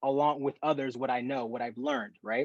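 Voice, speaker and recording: This man sounds energetic and enthusiastic, his fairly high voice recorded dry and close with no echo against a quiet background. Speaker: professional athlete and track runner. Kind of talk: talk to a group on a video call. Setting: video call.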